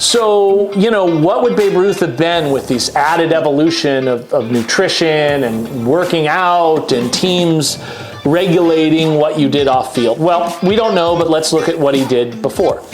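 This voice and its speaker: With music in the background and audible room echo, a man talks at a fairly slow pace in a fairly high pitch, using ordinary pitch variation and hardly any pauses. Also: very even loudness. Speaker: YouTube show host. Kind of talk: casual monologue about sports rankings. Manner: conversational.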